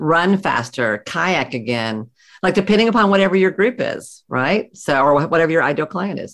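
Very wide pitch swings and vocal fry at a moderate pace. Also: woman, fairly low pitch for a woman. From US South. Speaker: psychotherapist and practice coach. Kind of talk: interview.

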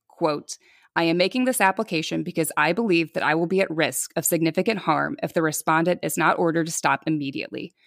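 In a very clean recording with a silent background and a dry, close sound with no echo, a woman with a fairly low pitch and vocal fry talks at a fairly quick pace with ordinary pitch variation. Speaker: podcast host telling a true-crime story. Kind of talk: casual chat with storytelling.

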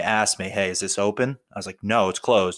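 Speaking at a very fast pace in a New Jersey accent, a man with fairly low pitch and monotone, flat intonation comes through in a very clean recording with a silent background. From North Jersey, US. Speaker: police officer, meme page creator. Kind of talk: casual chat.

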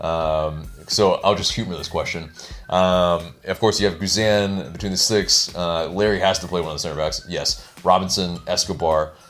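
Speaking at a moderate pace with hardly any pauses, a man uses a very deep, low pitch and fairly even intonation while music plays in the background. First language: not Spanish. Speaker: soccer podcast co-host. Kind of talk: casual chat. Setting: video recording. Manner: halting, many fillers.

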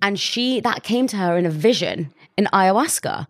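Heard on a very clean recording with a silent background, a woman with a British accent speaks with ordinary pitch variation, the sound dry and close with no echo. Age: 20s. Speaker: podcast host. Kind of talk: casual chat.

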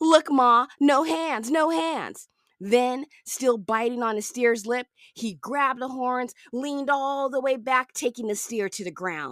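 A woman sounds animated and enthusiastic, with a high pitch. The sound is dry and close, with no echo. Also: ordinary pitch variation, fairly slow pace. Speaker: podcast host. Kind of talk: educational storytelling podcast narration for kids; dramatic narration. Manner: animated, enthusiastic; dramatic, building suspense with vivid emphasis.

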